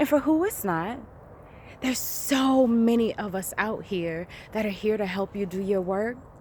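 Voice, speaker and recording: Through noticeable background noise, a woman speaks with a fairly high pitch and lively intonation. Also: moderate pace. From Jamaica. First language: Jamaican Patois. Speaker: life coach. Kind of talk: motivational vlog talk.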